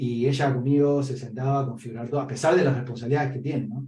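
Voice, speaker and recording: A somewhat breathy man with an Argentine accent speaks very fast at a medium pitch, his tone dark and mellow and his intonation flat and monotone. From Argentina, Patagonia (San Martín de los Andes). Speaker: data analyst, podcast interviewee. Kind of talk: interview conversation. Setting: podcast interview.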